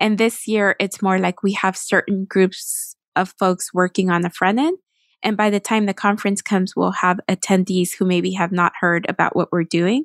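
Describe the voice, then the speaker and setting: A woman with an American accent speaks in an ordinary speaking voice at a medium pitch and moderate pace, with fairly even intonation and very even loudness, in a dry, close recording with no echo that is very clean with a silent background. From Texas. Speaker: nonprofit communications director. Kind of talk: interview.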